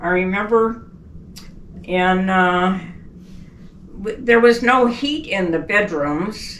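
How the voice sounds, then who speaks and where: A woman at medium pitch with lively intonation, a very slow pace, long, frequent pauses and audible room echo. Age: 80s+. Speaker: elderly mother telling life story. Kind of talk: oral history interview.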